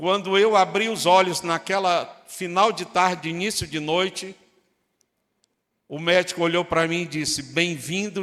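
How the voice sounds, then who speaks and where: At a fairly slow pace, a man speaks at a high pitch with a bright, sharp tone. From Brazil, Northeast (Fortaleza, Ceará). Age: 60s. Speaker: pastor. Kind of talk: sermon.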